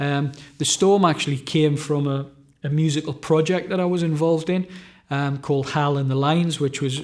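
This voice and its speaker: Over a very clean recording with a silent background, a man with a Northumbrian accent talks at a moderate pace in a fairly high pitch with fairly even intonation. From Northumberland, England. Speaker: novelist and musician. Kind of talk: interview answer.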